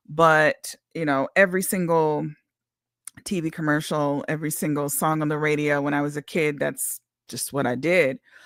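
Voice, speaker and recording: A woman speaks with a very deep, low pitch at a moderate pace. The sound is dry and close with no echo, and the recording is very clean over a silent background. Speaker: independent singer. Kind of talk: casual livestream monologue. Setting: livestream.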